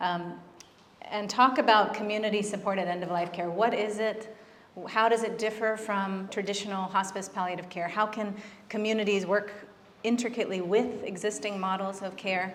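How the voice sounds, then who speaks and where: A soft-spoken woman at medium pitch and a moderate pace, monotone and flat, with audible room echo and noticeable background noise. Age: 40s. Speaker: physician and end-of-life doula. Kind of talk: conference talk. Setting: stage with audience.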